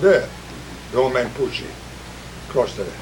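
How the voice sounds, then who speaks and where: Noticeable background noise fills the clip. A man talks at a very fast pace. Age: 80s+. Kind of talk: storytelling, casual reminiscence. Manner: rambling, conversational.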